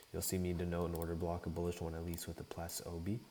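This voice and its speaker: A quiet, calm man with a very deep, low pitch, a dark, mellow tone and a somewhat breathy sound. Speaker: day trader streaming live trades. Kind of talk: live trading commentary. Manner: casual, hesitant with fillers.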